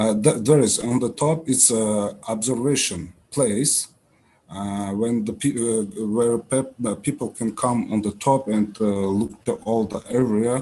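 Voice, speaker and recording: A voice with an Uzbek accent, dark and mellow in tone, at a fairly slow pace with ordinary pitch variation, against a quiet background. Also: man, medium pitch for a man. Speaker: startup founder. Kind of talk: pitch presentation. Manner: halting, many fillers.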